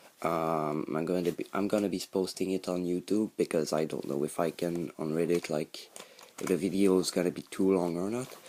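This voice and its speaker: With a Quebec accent, a man speaks at a fairly quick pace in a very deep, low pitch, with a dark, mellow tone and fairly even intonation. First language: French. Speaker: hobbyist YouTuber. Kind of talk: tutorial. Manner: halting, many fillers.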